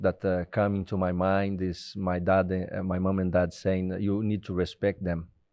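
A man with a Portuguese accent speaks with a very deep, low pitch. His intonation stays monotone and flat. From Brazil. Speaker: retired footballer. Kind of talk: casual interview. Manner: halting.

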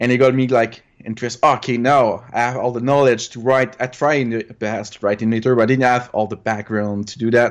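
A man speaks with a Quebec accent at medium pitch and a fairly quick pace, with hardly any pauses. His intonation is monotone and flat. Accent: Québécois French. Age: 30s. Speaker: retro gaming hobbyist. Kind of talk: interview. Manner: halting.

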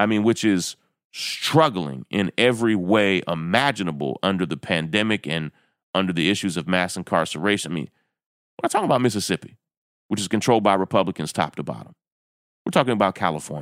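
Very fast and with lively intonation, a man with a Southern US accent speaks at a very deep, low pitch, the sound dry and close with no echo on a very clean recording with a silent background. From rural Kentucky. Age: 40s. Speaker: podcast host. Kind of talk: commentary monologue.

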